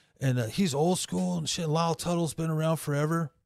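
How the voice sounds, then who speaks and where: In a normal speaking voice, someone with an American accent talks at a moderate pace with ordinary pitch variation. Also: man. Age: 50s. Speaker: tattoo artist. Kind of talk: casual chat.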